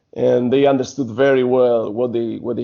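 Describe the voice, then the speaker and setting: Speaking with a Spanish accent, a man keeps a medium pitch, fairly even intonation and a moderate pace. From Spain. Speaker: basketball coach and former pro player. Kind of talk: interview. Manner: halting.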